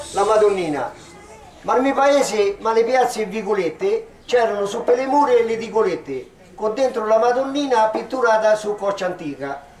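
There is audible room echo and light background noise as a man speaks in a high voice. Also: ordinary pitch variation, moderate pace. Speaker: poet. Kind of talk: poetry reading in local dialect. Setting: outdoors, public ceremony. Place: street. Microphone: handheld.

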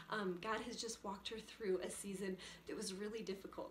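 A woman talks at a fairly quick pace. Light background noise and audible room echo are present. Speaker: vlog host. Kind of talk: casual vlog chat. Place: home room. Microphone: camera far.

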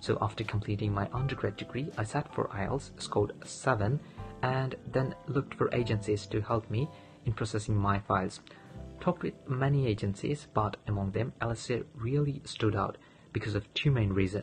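Clear music plays behind a man with a Bangladeshi accent who talks at a fairly quick pace, his pitch fairly low with ordinary variation. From Sylhet, Bangladesh. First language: Bengali. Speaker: international graduate student. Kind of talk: testimonial talk to camera. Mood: friendly, calm, positive. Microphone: phone near.

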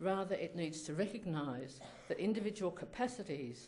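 Moderate-paced speech from a woman, her pitch varying in an ordinary way. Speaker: speaker. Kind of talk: lecture. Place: hall. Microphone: podium.

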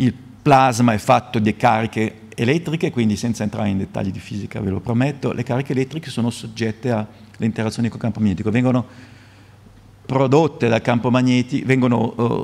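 A man rattles off his words at a very fast pace. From Italy. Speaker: physics professor. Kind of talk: lecture. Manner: halting, repeats words. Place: hall. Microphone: podium.

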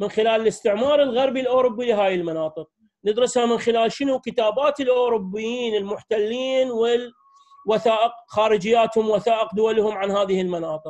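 A man with an Iraqi accent speaks at a high pitch. He leaves hardly any pauses. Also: ordinary pitch variation, moderate pace. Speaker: history professor. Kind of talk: academic lecture. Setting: video call.

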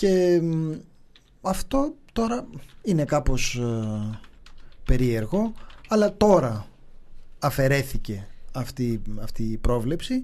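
A man speaks very slowly with long, frequent pauses. His fairly high voice has a dark, mellow tone and very wide pitch swings. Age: 40s. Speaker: podcast co-host. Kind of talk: casual chat. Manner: laughing.

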